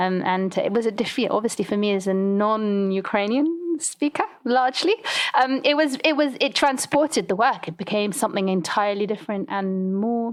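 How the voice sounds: Delivered at a moderate pace with few pauses, the speech keeps a fairly even intonation. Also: woman, medium pitch for a woman.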